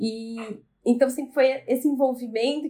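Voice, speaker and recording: A woman speaks in a high pitch at a moderate pace. Her intonation stays fairly even. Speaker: family business executive. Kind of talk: podcast interview.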